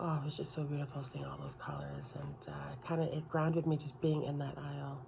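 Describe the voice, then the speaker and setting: A soft-spoken woman talks at a moderate pace. There is noticeable background noise. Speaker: ASMR creator. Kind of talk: casual ASMR talk to camera.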